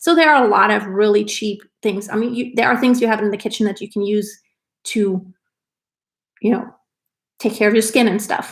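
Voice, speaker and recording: A woman with a fairly high, somewhat breathy voice talks at a moderate pace with fairly even intonation and long, frequent pauses, in a very clean recording with a silent background. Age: 40s. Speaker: lifestyle vlogger. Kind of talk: live stream casual chat. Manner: casual, conversational.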